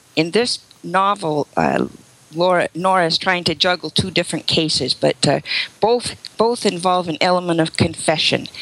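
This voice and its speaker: Using a plain, everyday voice, a woman with a fairly low pitch speaks at a moderate pace with ordinary pitch variation and very even loudness, in a dry, close sound with no echo. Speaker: author. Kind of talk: interview, casual chat.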